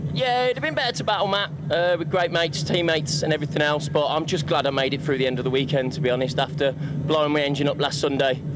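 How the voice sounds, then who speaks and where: Amid noticeable background noise, a man with a Birmingham accent talks at a very fast pace with hardly any pauses, his fairly high pitch showing ordinary variation and his loudness very even. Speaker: gymkhana driver. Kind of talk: post-race interview. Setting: outdoor pits at racing event.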